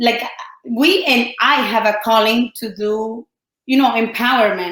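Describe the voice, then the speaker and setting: A woman speaks with a Colombian accent and a fairly high pitch. Her loudness swings widely. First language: Spanish. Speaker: entrepreneur and life coach. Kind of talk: podcast interview. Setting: studio.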